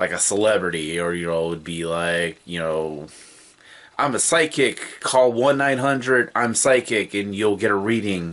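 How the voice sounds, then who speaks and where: The speaker is a man with a fairly low pitch. His pitch varies in an ordinary way. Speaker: video host. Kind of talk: casual vlog chat. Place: home room.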